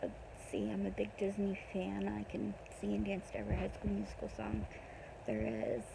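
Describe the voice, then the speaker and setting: Speaking at a moderate pace with an American accent, a woman keeps her loudness very even while audible room echo and noticeable background noise fill the recording. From Pennsylvania, US. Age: 20s. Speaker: vlogger. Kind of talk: casual personal vlog. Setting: in bed at midnight. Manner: hesitant, many ums.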